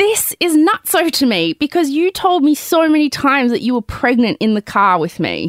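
In an Australian accent, a woman speaks at a high pitch with very wide pitch swings and hardly any pauses. The recording is very clean and dry, close, with a silent background and no echo. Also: moderate pace. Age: 30s. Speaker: podcast host and memoir author. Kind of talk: scripted narration; casual chat.

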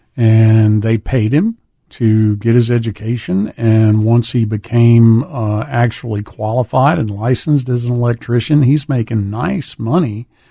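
A man with a dark, mellow, somewhat breathy tone speaks at a medium pitch with ordinary pitch variation and hardly any pauses. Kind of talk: casual radio interview. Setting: studio.

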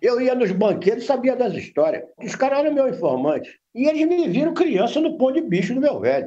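Pitched extremely high, a man talks at a fairly quick pace with very wide pitch swings. Room echo is audible. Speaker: veteran crime reporter. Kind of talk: interview.

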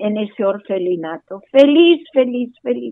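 Her pitch rises and falls in very wide swings. The woman keeps to a fairly slow pace. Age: 80s+. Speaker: Holocaust survivor. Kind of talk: testimony.

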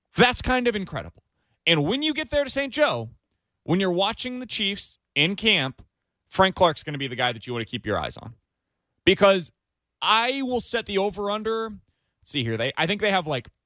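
In a very clean, silent recording that is dry and close with no echo, a man with an American accent projects a raised, high, bright and sharp voice at a moderate pace, his pitch swinging very widely and his loudness shifting a lot across long, frequent pauses. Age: 20s. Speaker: sports radio host. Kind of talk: sports talk radio.

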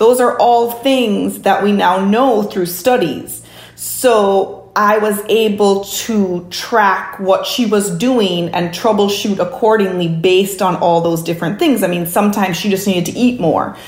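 A woman speaks at medium pitch with ordinary pitch variation, fairly slowly and with hardly any pauses. Audible room echo and noticeable background noise fill the recording. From Jamaica. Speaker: pediatric sleep consultant. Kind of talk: interview.

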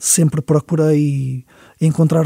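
A man's somewhat breathy, dark, mellow voice with fairly high pitch and fairly even intonation, dry and close with no echo. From Portugal, Lisbon. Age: 40s. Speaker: musician. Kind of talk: interview. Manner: halting.

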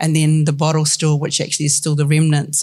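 A woman speaks with a New Zealand accent in a very deep, low, somewhat breathy voice. Her intonation is monotone and flat. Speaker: film commission executive, panel co-moderator. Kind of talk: panel discussion. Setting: stage with audience.

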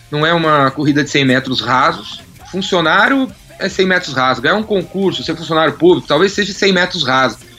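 A man's fairly high voice at a fairly quick pace, with ordinary pitch variation and music in the background. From São Paulo city, Brazil. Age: 40s. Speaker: entrepreneur and sales expert. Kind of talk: casual interview chat.

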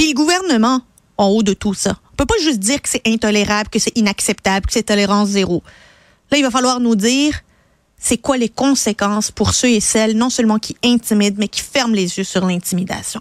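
A woman speaks in an animated tone at a fairly quick pace, her pitch fairly high with ordinary variation. The recording is very clean with a silent background and a dry, close sound with no echo. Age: 30s. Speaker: radio host and commentator. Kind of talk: opinion editorial.

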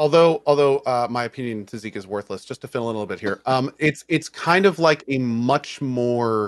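A plain, everyday voice comes through at a moderate pace. The sound is dry and close with no echo, and the background is quiet. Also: man. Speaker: podcast co-host. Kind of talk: casual chat.

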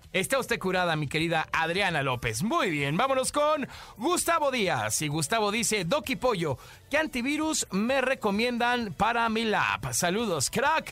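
A man's raised, projected voice, high in pitch with a bright, sharp tone, very wide pitch swings and very even loudness at a fairly slow pace. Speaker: radio host. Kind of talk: casual chat. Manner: animated.

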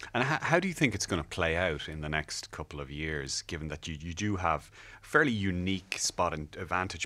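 In an Irish accent, a man with a very deep, low pitch and a bright, sharp tone speaks at a very fast pace in a very clean recording with a silent background. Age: 40s. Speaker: technology journalist and podcast host. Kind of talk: interview. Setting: studio.

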